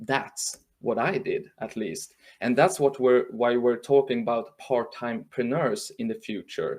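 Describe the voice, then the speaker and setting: A man speaks with a Swedish accent at a fairly high pitch. His pitch swings very widely. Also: fairly slow pace. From northern Sweden. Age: 40s. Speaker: journalist and trend speaker. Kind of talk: webinar talk. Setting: live stream from home. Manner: halting.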